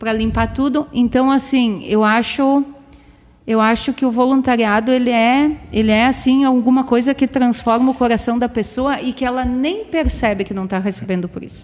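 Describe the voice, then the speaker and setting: The pace of this woman's speech is moderate. Her pitch sits high. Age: 40s. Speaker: PE teacher and scout leader. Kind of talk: casual interview. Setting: studio.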